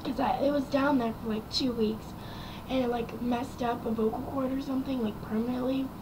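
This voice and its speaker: Soft-spoken woman's voice, high in pitch, monotone and flat, over noticeable background noise. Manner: quiet, soft-spoken.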